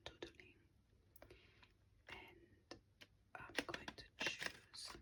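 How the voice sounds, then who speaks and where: The speaker whispers at a very slow pace. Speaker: ASMR artist. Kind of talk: ASMR drawing whisper video. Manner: whispered.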